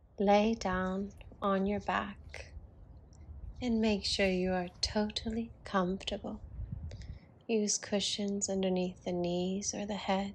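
Very slowly and with long, frequent pauses, a woman speaks at a medium pitch. Her intonation is monotone and flat, and her voice is somewhat breathy. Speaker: yoga teacher. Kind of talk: guided relaxation. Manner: slow, calm.

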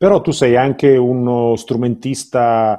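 In a quiet background, a man speaks with a dark, mellow tone. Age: 50s. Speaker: artist manager interviewer. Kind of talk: interview. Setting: video call from home. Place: home room. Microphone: webcam.

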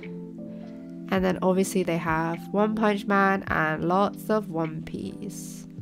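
Music in the background behind a woman talking at a very slow pace. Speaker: manga collector. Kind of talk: vlog voice-over.

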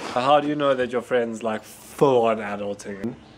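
Over noticeable background noise, a man with a South African accent talks at a moderate pace. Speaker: vlogger. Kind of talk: casual vlog talk to camera. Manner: casual, profane. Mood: joking, irreverent, swearing.

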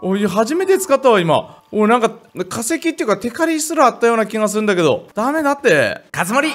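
The pitch swings very widely at a fairly quick pace, with hardly any pauses. Music plays in the background. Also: man, extremely high pitch for a man. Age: 30s. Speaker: gaming YouTuber. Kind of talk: casual gameplay commentary. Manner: animated.

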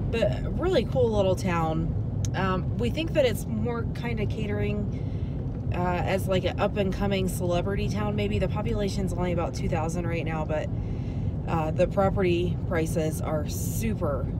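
Heavy noise fills the background while a woman talks at a moderate speed. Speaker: travel vlogger. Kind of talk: casual vlog chat. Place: car. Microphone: phone near.

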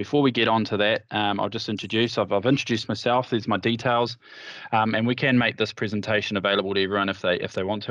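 The speaker talks at a very fast pace with fairly even intonation. The background is quiet and the sound is dry with no echo. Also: man. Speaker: partner manager at a headset company; vendor partner manager presenting. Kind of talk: product presentation. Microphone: video call.

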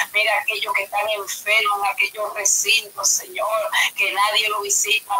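At a moderate pace and with hardly any pauses, a woman talks over light background noise. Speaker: pastor leading prayer. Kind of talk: intercessory prayer. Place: home room. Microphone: webcam.

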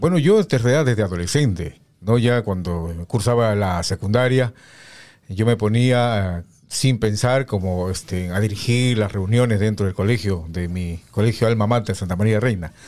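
A man's fairly low voice with ordinary pitch variation at a moderate pace, over a quiet background. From Peru. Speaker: radio announcer; guest, former radio announcer. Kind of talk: casual chat. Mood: nostalgic, warm. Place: studio. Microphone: studio mic.

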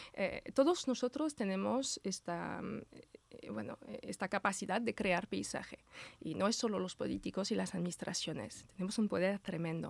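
A woman with a French accent speaks at a moderate pace in a dry recording with no echo. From Brittany, France. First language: French (speaking Spanish). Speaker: landscape architect, association president; interview guest. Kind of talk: interview. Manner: halting, many repetitions. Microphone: studio mic.

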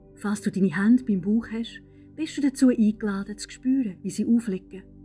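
The speaker has a Swiss accent, lively intonation and big swings in loudness. Music plays in the background. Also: woman, fairly high pitch for a woman, moderate pace. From Switzerland. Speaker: meditation guide. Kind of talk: guided meditation.

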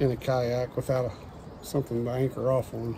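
Noticeable background noise surrounds a man talking at a moderate pace. The sound is dry, with no echo. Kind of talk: casual vlog chat. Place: waterside.

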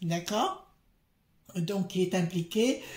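The woman's tone is dark and mellow. Her intonation stays fairly even. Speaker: card reader. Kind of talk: casual vlog commentary. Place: home room. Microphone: phone near.

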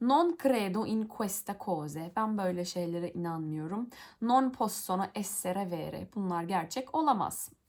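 Hardly any pauses break up this woman's medium-pitched, lively speech. The recording is very clean, with a silent background. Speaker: YouTuber, Italian learner. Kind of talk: reading aloud with translation. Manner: halting.

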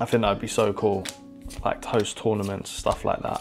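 A man with a British accent at a moderate pace, faint music in the background. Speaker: trading card game content creator. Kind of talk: casual talk to camera. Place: home room. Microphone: lapel.

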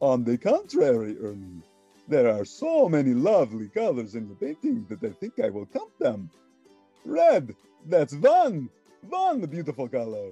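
With faint music in the background, a man puts on a character voice at a fairly high pitch, keeping a moderate pace broken by long, frequent pauses. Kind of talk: children's read-along character voice. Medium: read story. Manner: theatrical, gleeful, savoring each number.

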